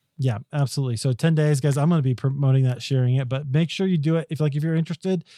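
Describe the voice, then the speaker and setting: A man's fairly high, dark, mellow voice, very fast with hardly any pauses and fairly even intonation, in a dry, close sound with no echo. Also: very clean recording, silent background. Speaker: podcast host. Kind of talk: interview conversation. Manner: hesitant, many fillers.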